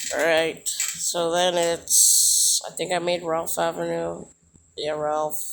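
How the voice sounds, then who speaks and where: Quiet and at a very slow pace, a man speaks in a high pitch with monotone, flat intonation. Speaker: YouTuber building transit maps in a game. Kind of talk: gameplay tutorial commentary. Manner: quiet, hushed; halting, many fillers.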